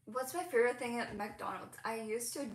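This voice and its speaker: A woman speaks with vocal fry. Audible room echo surrounds her voice. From Hong Kong. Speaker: crochet content creator. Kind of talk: casual livestream chat. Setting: home livestream. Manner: animated. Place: home room. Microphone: phone near.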